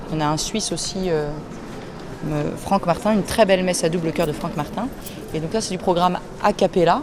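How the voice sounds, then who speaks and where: A woman's mid-range voice comes through clearly audible background noise. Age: 30s. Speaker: choir director. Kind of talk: interview. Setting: cathedral after mass. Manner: halting, many fillers.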